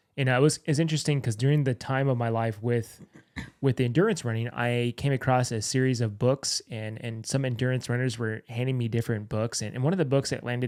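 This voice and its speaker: A man with an unremarkable speaking voice talks at a fairly quick pace, at medium pitch with fairly even intonation. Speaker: podcast host; firefighter. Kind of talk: casual conversation. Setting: studio.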